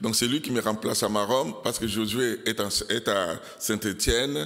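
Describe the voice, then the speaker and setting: A man with a non-native accent speaks at a medium pitch and a fairly slow pace. Audible room echo surrounds his voice. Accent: foreign accent in French. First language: not French, learned it from Belgians (speaking French). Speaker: pastor. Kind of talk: sermon. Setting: church. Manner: halting, many fillers.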